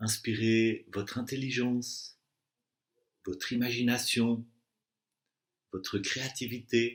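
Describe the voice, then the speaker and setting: With a calm, soothing tone, a man at a medium pitch speaks at a very slow pace with long, frequent pauses and fairly even intonation. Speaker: meditation and Yoga Nidra guide. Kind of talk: guided relaxation / Yoga Nidra session. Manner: calm, slow, soothing.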